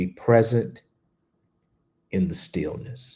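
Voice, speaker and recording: At a fairly slow pace, a man speaks in a fairly low, soothing, somewhat breathy voice. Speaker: spiritual teacher. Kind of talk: guided meditation. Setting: livestream. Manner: low, soothing tone.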